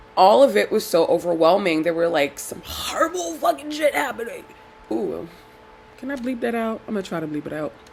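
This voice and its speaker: A woman with a medium pitch talks at a fairly quick pace with very wide pitch swings and big swings in loudness, over noticeable background noise. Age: 30s. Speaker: video blogger. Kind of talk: casual vlog talk. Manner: rambling, self-correcting.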